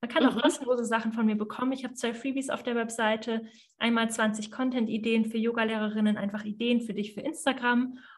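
At a very fast pace, a woman speaks in a fairly high, flat monotone. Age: 30s. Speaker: yoga teacher and business mentor. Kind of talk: interview conversation.

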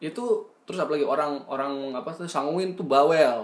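With an ordinary speaking voice, a man talks at a moderate pace and fairly high pitch, his pitch varying in an ordinary way. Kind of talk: casual chat.

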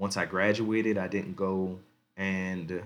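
A man speaks at a fairly low pitch. His intonation stays monotone and flat. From US Mid-Atlantic, Baltimore County, Maryland. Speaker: podcast host. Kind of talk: casual monologue. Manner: relaxed, casual.

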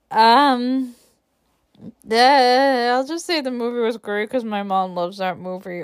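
At a fairly slow pace, a woman speaks with ordinary pitch variation on a very clean recording with a silent background and a dry, close sound with no echo. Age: 20s. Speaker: podcast host. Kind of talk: casual solo chat. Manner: halting, many restarts and fillers; laughs often.

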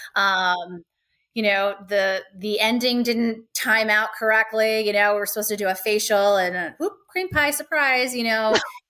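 A woman's bright, sharp voice has a fairly high pitch, ordinary pitch variation and a moderate pace. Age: 40s. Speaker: adult content creator. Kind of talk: casual chat.

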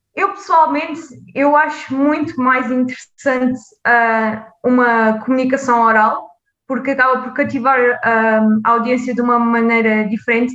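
Using a high pitch and ordinary pitch variation, a woman speaks at a fairly slow pace. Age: 20s. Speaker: public health PhD student. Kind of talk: interview.

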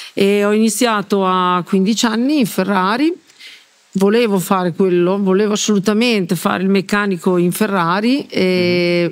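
Here is a woman with a plain, everyday voice at a medium pitch. She talks at a fairly slow pace with ordinary pitch variation. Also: very even loudness. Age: 60s. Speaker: former Ferrari mechanic. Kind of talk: casual interview. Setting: in person around a table.

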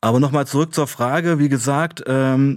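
An unremarkable speaking voice from a man, medium in pitch with ordinary pitch variation, at a moderate pace on a very clean recording with a silent background. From eastern Germany, Saxony-Anhalt (Weißenfels). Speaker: author and former addict, addiction counselor. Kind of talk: radio interview.

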